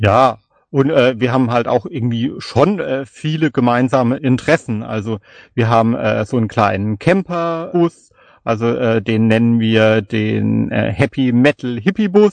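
A man speaks at a medium pitch and a fairly slow pace, with ordinary pitch variation. The sound is dry and close with no echo, over a quiet background. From Palatinate, Germany (Kaiserslautern). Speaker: podcaster and novelist. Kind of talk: casual chat.

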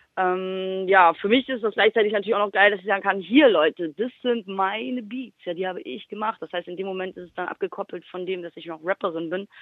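In a plain, everyday voice, a woman at medium pitch talks at a fairly quick pace with hardly any pauses, ordinary pitch variation and big swings in loudness. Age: 30s. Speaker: rapper and music producer. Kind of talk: interview.

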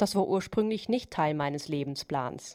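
In a very clean recording with a silent background, a woman with a Chinese accent speaks with ordinary pitch variation. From China. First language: Chinese (speaking German). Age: 40s. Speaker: immigrant housewife. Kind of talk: interview testimony.

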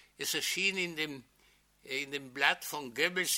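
In a bright, sharp tone with ordinary pitch variation, a man speaks on a very clean recording with a silent background. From Czechoslovakia, Sudetenland (Neutitschein, Moravia). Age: 80s. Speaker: Holocaust survivor, witness speaker. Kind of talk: lecture-style testimony to an audience. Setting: lecture hall with audience.

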